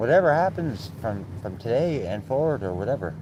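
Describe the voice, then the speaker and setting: Speaking at a fairly slow pace, a man with medium pitch and vocal fry makes very wide pitch swings. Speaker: live streamer. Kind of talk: casual livestream chat. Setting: outdoors, windy. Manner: loud; blunt, outspoken.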